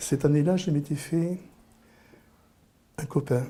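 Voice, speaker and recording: A man speaks very slowly in a somewhat breathy voice, recorded very cleanly with a silent background. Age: 60s. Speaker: interviewee. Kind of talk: personal storytelling. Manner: halting, with repetitions.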